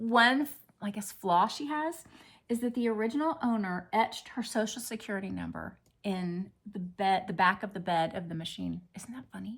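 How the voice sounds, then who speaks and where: A woman's somewhat breathy, medium-pitched voice at a moderate pace, lively in intonation and with big swings in loudness. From US Midwest, Lebanon Ohio. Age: 60s. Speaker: craft vlogger. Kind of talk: casual chat.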